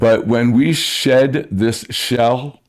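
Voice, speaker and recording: A man with an American accent speaks in a plain, everyday voice, at a medium pitch and with fairly even intonation. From New Jersey. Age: 60s. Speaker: musician. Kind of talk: casual chat.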